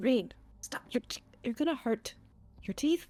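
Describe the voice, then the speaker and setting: In a put-on character voice, a woman talks at a moderate speed with her pitch placed high. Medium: actual play. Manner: blunt, firm.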